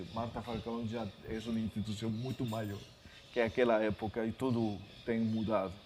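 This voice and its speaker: Monotone, flat intonation carries speech delivered at a moderate pace. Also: man, medium pitch for a man. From Peru, Lima. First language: Spanish (speaking Portuguese). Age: 50s. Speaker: author and literature scholar. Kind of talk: lecture. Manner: halting, many fillers.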